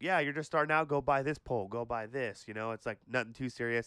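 An animated man with an American accent, a bright, sharp tone and a quiet background. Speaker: podcast co-host. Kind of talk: casual banter. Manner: animated, excitable.

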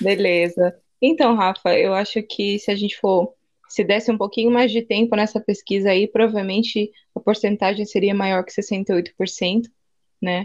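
Speaking at a fairly slow pace, a woman uses an unremarkable speaking voice at a medium pitch with fairly even intonation. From interior of São Paulo state, Brazil. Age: 20s. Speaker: psychoanalyst and missionary. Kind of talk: casual chat.

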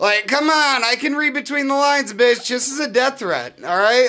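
A man speaks at a fairly quick pace in a raised, projected voice, his pitch extremely high with ordinary variation and his tone bright and sharp. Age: 30s. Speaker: comedian and podcast host. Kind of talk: casual chat.

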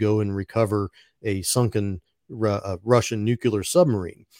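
The voice is an unremarkable speaking voice with an American accent. It keeps a moderate pace and fairly even intonation. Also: man. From West Virginia. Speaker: podcast host. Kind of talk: interview.

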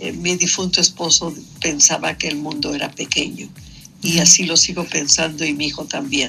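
A woman's very deep, low voice with vocal fry, fairly even intonation and a moderate pace. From Mexico City. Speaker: painter and sculptor. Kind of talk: radio interview. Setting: phone call.

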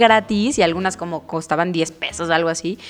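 An animated woman with a Mexican accent at a moderate pace, amid noticeable background noise. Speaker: podcast host. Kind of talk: casual interview chat.

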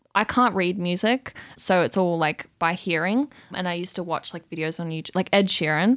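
A woman talks at a fairly quick pace in an ordinary speaking voice, pitched fairly low. Her pitch varies an ordinary amount, and the recording is very clean with a silent background. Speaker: singer-songwriter. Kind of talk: casual interview chat. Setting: studio.

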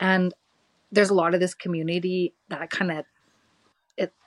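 The voice carries a Canadian accent. It moves at a moderate pace. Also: woman. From rural Alberta, Canada. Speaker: spiritual energy worker. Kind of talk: casual chat.

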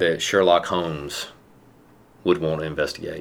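Fairly slow speech in a Southern US accent, with fairly even intonation. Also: man. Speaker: police captain. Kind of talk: interview.

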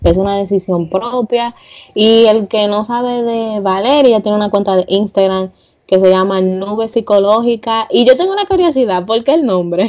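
A normal speaking voice from a woman, fairly high in pitch, with ordinary pitch variation at a moderate pace. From Dominican Republic. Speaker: podcast host. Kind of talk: casual interview.

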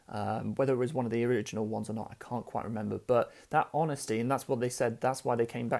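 On a very clean recording with a silent background, a man speaks in a dark, mellow tone with fairly even intonation. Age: 30s. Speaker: podcast host and business founder. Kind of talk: solo monologue storytelling. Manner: casual, many fillers.

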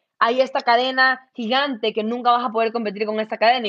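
Heard in a dry, close sound with no echo, a woman has an ordinary speaking voice that is fairly high in pitch. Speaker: entrepreneur. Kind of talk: interview.

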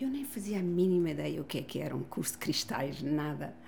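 Room echo is audible around the voice. The woman talks at a moderate pace. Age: 60s. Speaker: family constellation therapist and author. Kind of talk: casual chat. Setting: gym.

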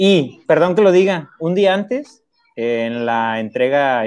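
Very wide pitch swings run through this man's speech at a very slow pace. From Mexico, Veracruz. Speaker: teacher and trail runner. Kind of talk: casual chat.

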